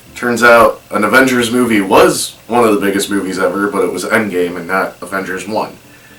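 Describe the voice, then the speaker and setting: Room echo and noticeable background noise are both audible as a man speaks at a fairly quick pace. His pitch is fairly low, with ordinary variation. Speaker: movie reaction youtuber. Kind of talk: casual video commentary. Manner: hesitant with fillers.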